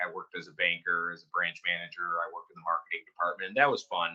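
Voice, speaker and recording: Here a man talks with a strong Michigan accent. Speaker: company founder and CEO. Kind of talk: interview. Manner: casual, filler-heavy.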